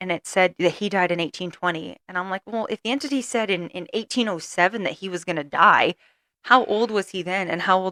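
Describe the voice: The clip is plain reading aloud with ordinary pitch variation against a quiet background.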